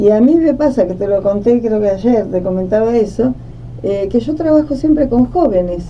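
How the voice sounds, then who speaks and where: Against noticeable background noise, a woman with a fairly high voice talks at a moderate pace with lively intonation. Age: 70s. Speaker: writer and social worker. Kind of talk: conversational podcast discussion.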